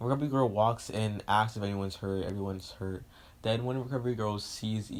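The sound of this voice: The voice reads the passage aloud in an unforced way.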